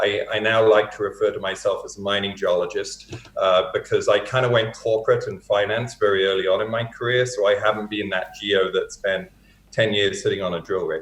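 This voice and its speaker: The speech moves at a fairly quick pace in an American accent. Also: man. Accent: English accent with a North American lilt. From England, Hertfordshire. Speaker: mining company president. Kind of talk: interview.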